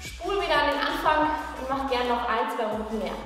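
A woman speaks at a moderate pace amid strong room echo. Faint music plays in the background. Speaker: fitness trainer. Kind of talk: workout video outro. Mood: friendly, upbeat farewell. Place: gym.

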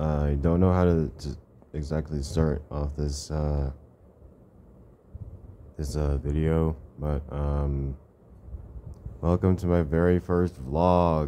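Very slow and monotone, a man with a very deep, low pitch and a dark, mellow tone speaks with flat intonation over light background noise. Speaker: vlogger. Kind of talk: casual vlog chat. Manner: drowsy, low, halting voice lying down. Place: home room. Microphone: phone near.

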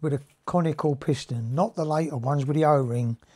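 A man's dark, mellow voice at a fairly slow pace, with ordinary pitch variation and a quiet background. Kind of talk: tutorial. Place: workshop.

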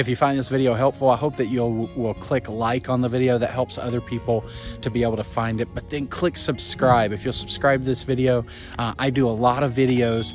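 Clear music plays in the background of a dry, echo-free recording as the speech moves at a fairly quick pace. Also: man. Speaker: pilgrimage vlogger. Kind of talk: casual vlog chat. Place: forest. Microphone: phone near.

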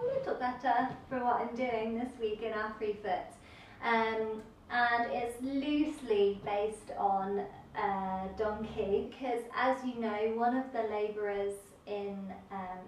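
A woman at a very slow pace with fairly even intonation, in audible room echo and light background noise. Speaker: dance teacher. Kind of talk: class instruction. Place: empty room. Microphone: camera far.

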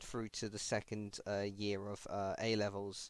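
Against a very clean recording and silent background, a man with a British accent speaks at a fairly low pitch and a fairly slow pace. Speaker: podcast host. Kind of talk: casual chat.

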